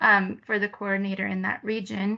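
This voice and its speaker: A woman with a Spanish accent, moderate pace, and a quiet background. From Peru, raised mostly in California. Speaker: resource assistant, program assistant. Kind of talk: presentation of own experience.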